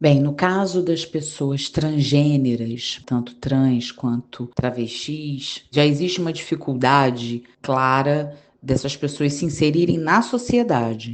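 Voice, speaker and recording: Hardly any pauses break up this very slowly paced speech. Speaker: diversity and inclusion analyst. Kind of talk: interview answer.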